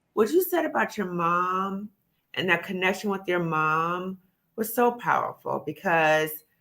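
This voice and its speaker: Her tone is bright and sharp. The woman speaks at a medium pitch and a fairly slow pace. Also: ordinary pitch variation. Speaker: live show host. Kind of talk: casual chat.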